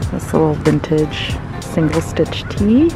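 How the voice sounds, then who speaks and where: The sound is dry, without any echo. Clear music plays behind it. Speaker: thrift vlogger. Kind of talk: casual vlog chat. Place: shop. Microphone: phone near.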